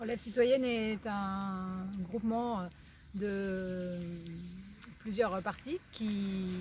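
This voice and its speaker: This woman's voice is somewhat breathy and sits at a medium pitch. Her intonation stays fairly even. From Limousin, France. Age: 40s. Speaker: teacher and local election candidate. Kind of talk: campaign presentation.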